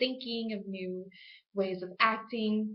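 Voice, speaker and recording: Audible room echo surrounds a woman's voice. She speaks at a moderate pace in a fairly high pitch. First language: Spanish. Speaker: student. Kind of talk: class speech.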